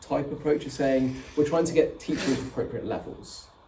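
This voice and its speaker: Noticeable background noise and audible room echo around a man's fairly high voice, delivered at a moderate pace. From England, Oxford. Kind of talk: talk Q&A. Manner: slightly slurred.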